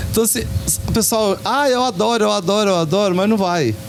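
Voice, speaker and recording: Music plays in the background as a man talks at a moderate pace in an animated tone with ordinary pitch variation. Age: 60s. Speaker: community radio program participant. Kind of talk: casual group chat on radio. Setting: radio program recorded at a local shop. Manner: animated storytelling.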